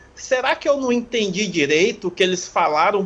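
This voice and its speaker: A man's high voice carries ordinary pitch variation. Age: 30s. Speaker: film podcast guest. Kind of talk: casual chat.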